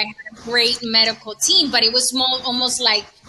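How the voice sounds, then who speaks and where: A woman with a high voice and fairly even intonation speaks over noticeable background noise. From Latin America, moved to New York City at 13. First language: Spanish. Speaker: breast cancer survivor, community ambassador. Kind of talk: casual podcast conversation.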